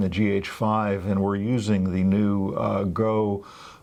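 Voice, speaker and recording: The man's voice sits fairly low. His pace is fairly slow. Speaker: photography video co-host. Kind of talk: casual chat. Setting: studio. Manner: soft-spoken.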